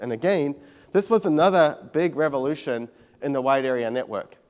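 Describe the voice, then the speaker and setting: Speaking at a fairly quick pace, a man talks in a New Zealand accent. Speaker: tech company CEO. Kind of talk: conference keynote talk. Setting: stage with audience.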